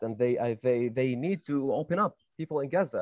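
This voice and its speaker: With an Arabic accent, a man talks at a fairly quick pace in a fairly high pitch, his tone dark and mellow and his intonation lively, in a dry, close recording with no echo over a quiet background. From West Bank, Palestine (Nablus). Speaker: panel speaker in dialogue event. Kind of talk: heated debate. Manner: halting, many fillers.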